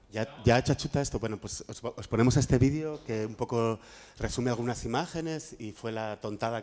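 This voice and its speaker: The pitch varies in an ordinary way. A man delivers his words at a fairly quick pace. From Spain, Madrid. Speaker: workshop moderator, graphic activist. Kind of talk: panel discussion moderation. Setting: room with audience and microphone. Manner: halting, many repetitions. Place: classroom.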